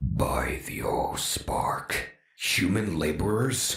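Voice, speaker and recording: In a cartoonish character voice, a man growls at a very slow pace with a fairly low pitch. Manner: casual, offhand commanding.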